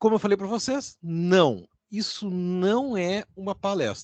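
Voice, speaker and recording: This is a man's voice. He speaks with a southern Brazilian accent. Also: dry, close sound with no echo, quiet background. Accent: gaúcho Brazilian Portuguese, noticeable. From Rio Grande do Sul, southern Brazil. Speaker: university lecturer. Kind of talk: informal lecture. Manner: conversational.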